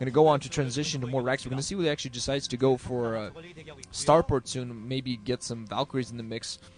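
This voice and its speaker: Talking at a very fast pace, a man keeps a medium pitch and fairly even intonation against noticeable background noise. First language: not English. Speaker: esports commentator. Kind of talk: live commentary. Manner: halting.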